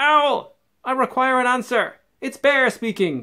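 In a put-on character voice, the speaker projects a raised, high-pitched delivery at a fairly slow pace. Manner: very loud, demanding.

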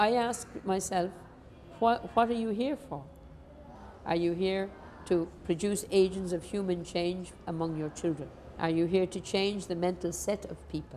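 A woman with an Irish accent speaks at a fairly slow pace and medium pitch in a dark, mellow tone, with ordinary pitch variation and light background noise. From Ireland. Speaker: nun and school principal. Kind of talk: interview. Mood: warm, animated, reflective. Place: classroom. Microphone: lapel.

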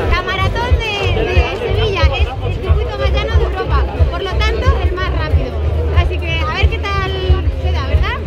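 Faint music plays in the background as a woman speaks at a moderate pace with long, frequent pauses. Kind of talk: casual vlog chat. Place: street. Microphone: phone near.

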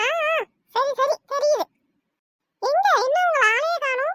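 A squeaky put-on character voice from a woman, extremely high-pitched, at a fairly slow pace, with a dry, close sound and no echo. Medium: short film. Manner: chatty, teasing.

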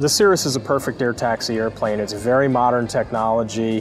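Clear music plays behind a man whose intonation stays fairly even. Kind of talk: interview answer.

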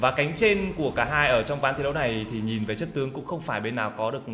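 A man talks at a very fast pace. His pitch is fairly high and his intonation lively. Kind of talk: esports commentary. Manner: fluent, lively play-by-play.

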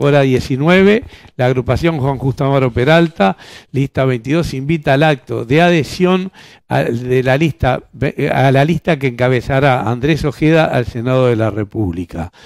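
Dry and echo-free over a quiet background, a man's medium-pitched voice keeps very even loudness, with lively intonation at a fairly slow pace. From Uruguay. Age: 60s. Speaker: politician. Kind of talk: interview. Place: studio. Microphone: lapel.

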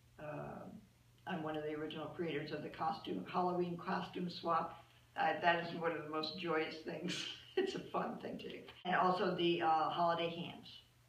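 With an American accent, a woman speaks at a moderate pace in a fairly low pitch and a monotone, flat intonation, with audible room echo around her. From US Midwest (Cincinnati, Ohio); Ohio. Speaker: volunteer. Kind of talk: interview testimony. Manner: hesitant with fillers. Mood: warm, cheerful. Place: office. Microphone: camera far.

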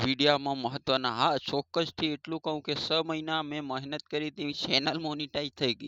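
A man with a fairly high pitch and bright, sharp tone talks in monotone, flat intonation. The sound is dry and close with no echo, against a quiet background. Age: 30s. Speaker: YouTuber and manual labourer. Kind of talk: motivational vlog monologue. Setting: sitting by a road, waiting. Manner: halting.

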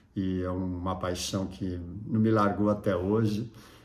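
A man's fairly low, relaxed voice at a very slow pace, with fairly even intonation and audible room echo. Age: 60s. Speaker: surf photographer and YouTuber. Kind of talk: casual vlog monologue. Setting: at home. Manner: relaxed, with many fillers and hesitations.

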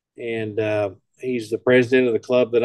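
A man talks at a moderate pace, his voice dry with no echo against a quiet background. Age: old. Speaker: emergency communications presenter; amateur radio club member. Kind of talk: presentation. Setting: video call. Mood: relaxed, conversational. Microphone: webcam.

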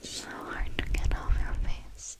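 This woman speaks in a whisper. Her voice is soft-spoken. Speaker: ASMR creator. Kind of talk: ASMR roleplay talk. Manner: soft ASMR whisper close to mic. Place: home room. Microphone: studio mic.

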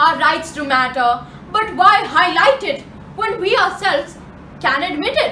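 A woman speaks in a raised, projected voice at an extremely high pitch, her pitch swinging very widely at a fairly slow pace, with audible room echo and light background noise. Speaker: slam poet. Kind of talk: slam poetry performance. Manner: sarcastic. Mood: sarcastic, passionate. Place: home room. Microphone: camera far.

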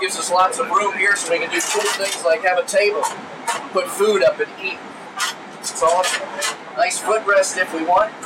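Noticeable background noise sits beneath speech that moves at a moderate pace and shows ordinary pitch variation. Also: man. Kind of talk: tour guide explanation. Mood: enthusiastic, friendly. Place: plane.

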